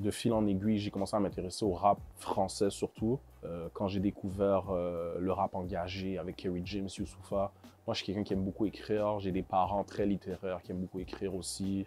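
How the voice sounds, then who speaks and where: This man has a dark, mellow tone and a fairly low pitch. He talks at a fairly quick pace in a monotone, flat intonation. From Montreal, Quebec. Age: 20s. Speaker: rapper. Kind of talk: interview. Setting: studio. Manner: hesitant, many fillers.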